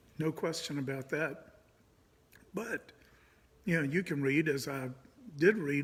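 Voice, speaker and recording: Somewhat breathy, a man with a fairly high pitch talks at a fairly slow pace and ordinary pitch variation. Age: 60s. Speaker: pastor. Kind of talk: casual monologue. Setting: indoors.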